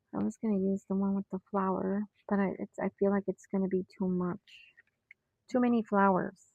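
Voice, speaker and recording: A woman at medium pitch with monotone, flat intonation, a fairly quick pace, and long, frequent pauses. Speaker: planner hobbyist YouTuber. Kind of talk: casual craft tutorial, thinking aloud. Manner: quiet; halting.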